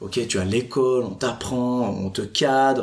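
An unremarkable speaking voice from a man, medium in pitch, with lively intonation. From Switzerland, Fribourg. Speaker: entrepreneur. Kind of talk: interview. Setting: office by Lake Geneva.

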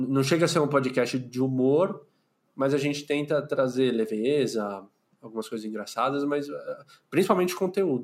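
A man with a plain, everyday voice speaks at a moderate pace and fairly high pitch, with ordinary pitch variation, on a very clean recording with a silent background. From São Paulo city, Brazil. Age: 30s. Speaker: podcaster, clinical psychologist. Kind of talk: casual interview chat.

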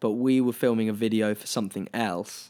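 With a southern English accent, a man at medium pitch talks with ordinary pitch variation on a very clean recording with a silent background. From England, Brighton. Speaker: singer. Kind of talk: casual chat.

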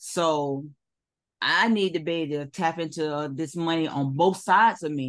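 A woman's normal speaking voice, fairly low in pitch with ordinary pitch variation, at a fairly slow pace against a quiet background. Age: 50s. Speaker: webinar attendee, construction remodeler. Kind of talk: casual Q&A.

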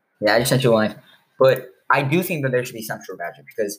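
A man with an American accent has a somewhat breathy voice. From Chicago. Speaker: sports podcast host. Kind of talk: casual chat.

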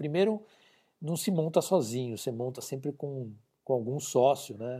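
A man speaks fairly slowly at a medium pitch, his tone dark and mellow with ordinary pitch variation. The recording is very clean, with a silent background. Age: 50s. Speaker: business consultant. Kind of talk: interview. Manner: halting, with frequent repeated words.

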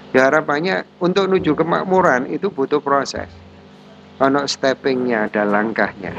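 Lively intonation at a moderate pace. There is noticeable background noise. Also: man, fairly high pitch for a man. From Indonesia, Malang (East Java). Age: 40s. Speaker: businessman and social activist. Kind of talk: interview conversation.

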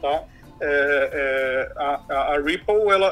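Lively intonation marks this man's speech. Behind him, music is playing. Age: 30s. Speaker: fintech executive, crypto expert. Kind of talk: interview. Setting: remote recording over computer.

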